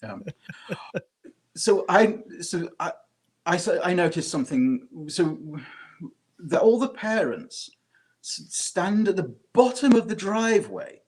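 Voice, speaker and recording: With a British accent, a man speaks at a fairly slow pace and a high pitch, using lively intonation, big swings in loudness and long, frequent pauses. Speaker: podcast co-host. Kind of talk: casual chat. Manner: halting, many fillers and repeats.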